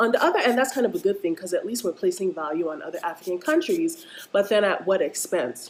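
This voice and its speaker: An animated woman with an American accent, fairly high pitch and very wide pitch swings, over noticeable background noise. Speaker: vlogger. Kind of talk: casual rant vlog.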